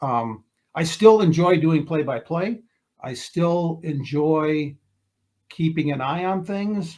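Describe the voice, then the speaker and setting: At a very slow pace, a man speaks in a fairly high pitch with ordinary pitch variation. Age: 60s. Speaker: retired TV sports reporter. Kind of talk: casual interview. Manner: halting, many repeated words.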